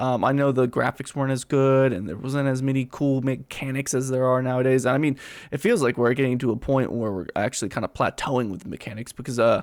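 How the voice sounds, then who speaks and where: A man's medium-pitched voice at a very fast pace, on a very clean recording with a silent background. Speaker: gaming reaction streamer. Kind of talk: casual reaction commentary. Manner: halting, many fillers.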